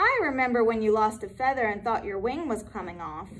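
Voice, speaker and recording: Putting on a character voice, a woman speaks fairly quickly at a fairly high pitch, with clear background noise behind her. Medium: read story.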